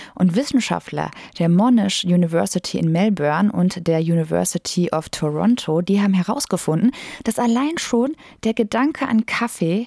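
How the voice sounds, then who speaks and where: A woman talks at a moderate pace and medium pitch with ordinary pitch variation. Her tone is dark and mellow, and the sound is dry and close with no echo. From Germany, Lippe near Detmold (East Westphalia). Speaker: podcast host, radio journalist. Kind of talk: casual chat.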